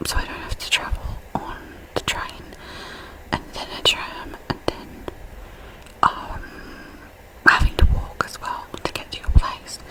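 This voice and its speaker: A woman whispering at a fairly slow pace, with long, frequent pauses, big swings in loudness, and noticeable background noise. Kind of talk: ASMR personal storytelling. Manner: whispered.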